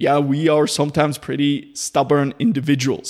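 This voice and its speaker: With a plain, everyday voice, a man talks at a moderate pace and a fairly high pitch. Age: 20s. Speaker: ADHD coach and podcaster. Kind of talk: solo podcast monologue.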